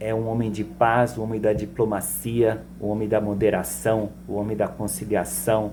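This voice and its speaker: A man at a fairly low pitch, with music in the background. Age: 60s. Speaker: political commentator. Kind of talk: monologue political commentary.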